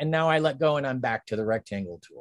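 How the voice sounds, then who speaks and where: Speaking in an American accent, a man has a fairly high pitch and ordinary pitch variation. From Pennsylvania and Ohio, US. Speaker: design instructor. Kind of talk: tutorial. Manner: casual, with fillers and laughs. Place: home room.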